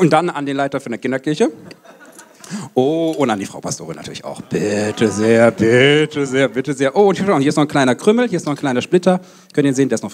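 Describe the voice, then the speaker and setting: A man talks at a very fast pace with lively intonation and big swings in loudness. Light background noise sits behind him. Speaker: pastor. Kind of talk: sermon. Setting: church service with congregation. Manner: animated. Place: hall. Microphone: handheld.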